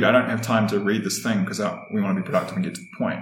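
A man with a New Zealand accent talks in a medium pitch with ordinary pitch variation. There is audible room echo and noticeable background noise. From New Zealand, Wellington. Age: 30s. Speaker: podcast guest. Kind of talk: casual interview chat.

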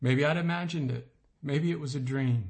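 A man with a fairly high pitch speaks at a moderate pace in an animated, somewhat breathy tone, with ordinary pitch variation. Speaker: author reading own essay. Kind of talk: literary audiobook reading of a comic personal essay, wry and storytelling. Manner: animated, dry-humored, mock-heroic delivery; measured, expressive narration with comic timing.

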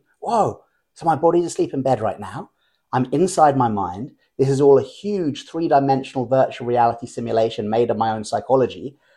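Speaking with an English accent, a man uses a dark, mellow tone at medium pitch, with lively intonation and a fairly quick pace. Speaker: lucid dreaming teacher. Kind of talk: interview conversation. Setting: at home. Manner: animated.

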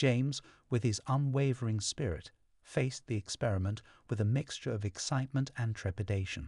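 Against a quiet background, a man with a medium pitch talks at a fairly quick pace in a dramatic, somewhat breathy tone, with ordinary pitch variation and a dry, close sound with no echo. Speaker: podcast narrator. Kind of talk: history documentary narration, scripted storytelling read aloud. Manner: measured, dramatic, evocative storyteller pacing; formal, polished, suspenseful tone.

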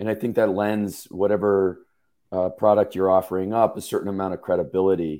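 A gravelly, low-pitched man's voice with a dark, mellow tone, little pitch movement and a fairly quick pace

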